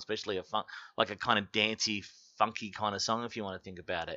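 The speaker is a man with an Australian accent. His pitch is medium and his pace fairly quick. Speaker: podcast guest. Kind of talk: casual chat.

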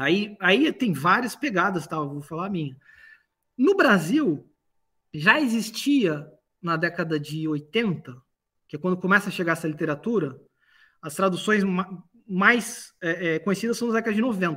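In a very clean recording with a silent background, a man uses a raised, projected voice, high in pitch and bright, sharp in tone, with lively intonation and long, frequent pauses. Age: 40s. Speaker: philosophy professor. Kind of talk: casual chat.

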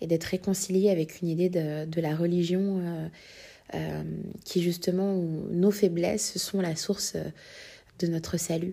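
In a fairly low, dark and mellow voice, a woman speaks fairly slowly with monotone, flat intonation. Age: 30s. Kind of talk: testimony. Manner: halting, many hesitations.

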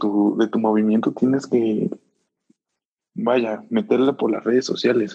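With a Mexican accent, a man of medium pitch speaks at a fairly slow pace with ordinary pitch variation. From Mexico, Puebla. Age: 20s. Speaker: podcast guest, student. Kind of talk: casual chat.

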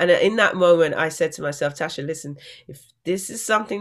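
In an English accent, a woman speaks at a very fast pace, recorded very cleanly with a silent background. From England. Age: 40s. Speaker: Olympic athlete and motivational speaker. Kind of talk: interview.

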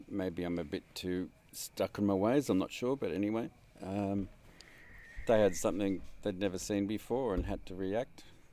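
Using a dark, mellow tone and an Australian accent, a man talks at a moderate pace and a fairly low pitch with ordinary pitch variation and long, frequent pauses. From Sydney, Australia. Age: 50s. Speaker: traveler. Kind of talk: casual interview. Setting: traveling in rural Egyptian oasis.

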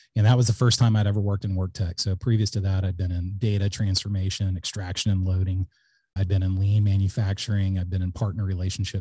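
At a very fast pace, a man speaks with a very deep, low pitch in a somewhat breathy, dark, mellow tone and monotone, flat intonation. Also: quiet background. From South Texas. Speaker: company founder and CEO. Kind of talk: casual interview.

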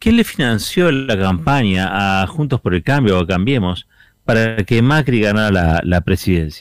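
With lively intonation, a man speaks slowly-ish in a fairly low voice, keeping a fairly slow pace. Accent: Rioplatense. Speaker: radio host. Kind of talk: radio editorial.

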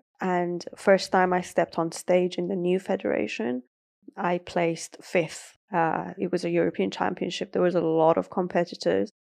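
With a British accent, a woman speaks at a fairly low pitch and a moderate pace, her intonation fairly even, in a dry, close sound with no echo and a quiet background. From Iran (north, Caspian coast), moved to UK at about seven. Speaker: bodybuilder and coach. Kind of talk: interview conversation.

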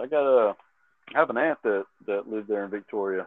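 A man with a Texan accent, fairly low in pitch, with ordinary pitch variation and a fairly quick pace. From Texas. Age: 30s. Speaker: fitness trainer. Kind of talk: casual chat.

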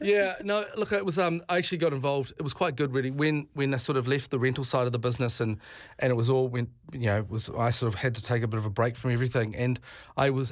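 Very fast and with a New Zealand accent, a man speaks on a very clean recording with a silent background. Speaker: tourism business leader. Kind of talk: radio interview. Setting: studio.

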